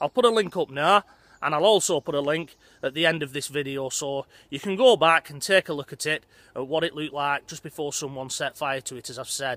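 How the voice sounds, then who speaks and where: A man's bright, sharp voice at a fairly quick pace, with ordinary pitch variation, big swings in loudness and dry sound with no echo. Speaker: vlogger. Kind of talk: casual vlog chat. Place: open country. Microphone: phone near.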